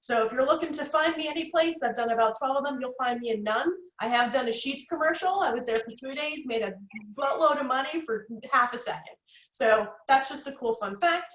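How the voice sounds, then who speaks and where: Speaking at a fairly quick pace, a woman with an American accent has a high pitch and ordinary pitch variation. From North Jersey, US. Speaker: networking consultant, guest speaker. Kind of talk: workshop presentation. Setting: video call. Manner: fast; animated.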